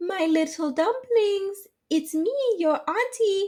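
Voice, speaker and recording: A put-on character voice, female-sounding and extremely high in pitch, at a fairly slow pace. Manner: sweet, coaxing.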